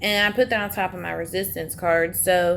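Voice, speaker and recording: A woman with an American accent speaks at a medium pitch. She goes at a fairly slow pace with fairly even intonation. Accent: Southern US, strength disputed. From US South. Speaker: tarot reader. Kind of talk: tarot reading monologue. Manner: casual, chatty with fillers.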